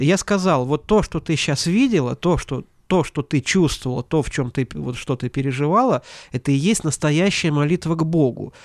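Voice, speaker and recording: A man with an unremarkable speaking voice and a fairly high pitch talks at a moderate pace with ordinary pitch variation. The recording is very clean, with a silent background and a dry, close sound with no echo. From Latvia, Ventspils. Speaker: pastor and seminary teacher. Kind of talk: interview.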